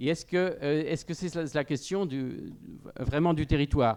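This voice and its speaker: In a quiet setting, a man speaks at a fairly high pitch with ordinary pitch variation. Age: 60s. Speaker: panel speaker at a farmers' union debate. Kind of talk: panel discussion. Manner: hesitant, many fillers.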